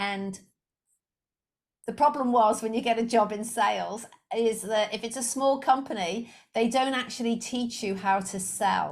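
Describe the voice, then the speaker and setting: With a slight Liverpool accent, a woman speaks at a moderate pace in a fairly high pitch, her intonation fairly even and her pauses long and frequent. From England, Liverpool. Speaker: sales coach. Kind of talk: podcast interview.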